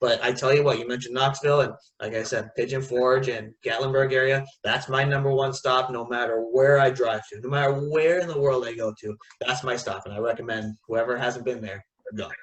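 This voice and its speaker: A normal speaking voice at a fairly quick pace. The intonation stays fairly even. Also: man, medium pitch for a man. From Florida (Tampa). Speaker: travel vlogger. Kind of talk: casual chat. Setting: video call.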